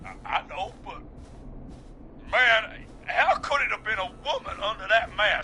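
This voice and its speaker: A man in a put-on character voice drawls at a fairly slow pace with long, frequent pauses over clear background noise. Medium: game stream. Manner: casual, drawling, says "man" a lot.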